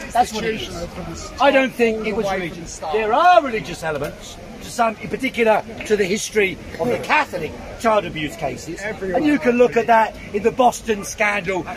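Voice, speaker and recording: Lively intonation and big swings in loudness mark this London accent, delivered at a moderate pace over noticeable background noise. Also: man, high pitch for a man. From South London. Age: 60s. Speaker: debater. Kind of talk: heated debate.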